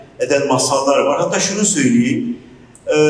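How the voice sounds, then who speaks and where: The pace is moderate with ordinary pitch variation. Audible room echo surrounds the voice. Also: man. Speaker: speaker. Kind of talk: public talk. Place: hall.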